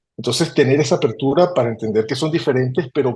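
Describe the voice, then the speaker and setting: Speaking at a fairly quick pace, a man has a medium-pitched, somewhat breathy voice with a dark, mellow tone. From Venezuela, Caracas. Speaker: human resources executive. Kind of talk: interview. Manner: hesitant with fillers.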